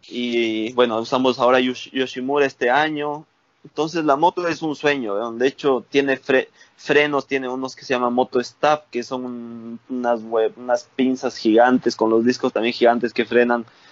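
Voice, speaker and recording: A man talks at a medium pitch and a moderate pace with fairly even intonation. His is a plain, everyday voice. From Ecuador, Valle de los Chillos near Quito. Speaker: motocross rider. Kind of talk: casual chat.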